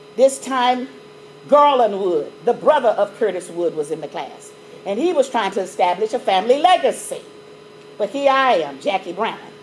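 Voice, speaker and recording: An animated woman with an American accent speaks at a fairly high pitch with very wide pitch swings. Her pace is moderate, with noticeable background noise behind her. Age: 60s. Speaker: mathematics educator. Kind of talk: lecture.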